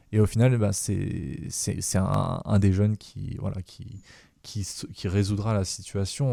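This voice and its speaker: On a very clean recording with a silent background, the tone comes across dark and mellow. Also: man, dry, close sound with no echo. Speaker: podcast host. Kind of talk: casual chat. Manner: halting.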